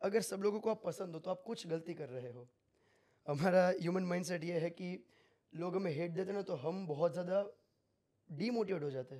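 A man's high voice with a dark, mellow tone at a moderate pace, with long, frequent pauses and a quiet background. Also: ordinary pitch variation. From Gujarat, India. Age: 20s. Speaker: crypto trader; podcast guest. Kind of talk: casual interview. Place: studio. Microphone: studio mic.

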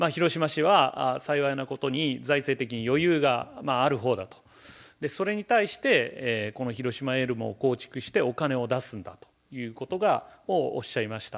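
A man at a moderate pace, with ordinary pitch variation, big swings in loudness, and a quiet background. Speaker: professor of geography; keynote lecturer. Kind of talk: keynote lecture. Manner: halting, many fillers; serious, somewhat stiff. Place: hall.

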